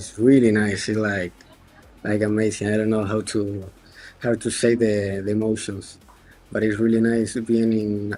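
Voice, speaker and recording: Music plays in the background as a man speaks with a non-native accent. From Argentina. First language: Spanish. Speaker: esports player. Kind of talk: post-match interview. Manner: halting.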